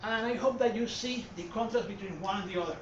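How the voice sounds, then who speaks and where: A man with a Puerto Rican accent speaks at an extremely high pitch. There is audible room echo and noticeable background noise. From Puerto Rico. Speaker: art historian. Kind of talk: lecture. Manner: hesitant, many fillers.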